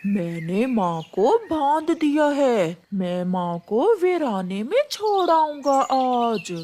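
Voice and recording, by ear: A cartoonish character voice, female-sounding and high-pitched, at a very slow pace with very wide pitch swings.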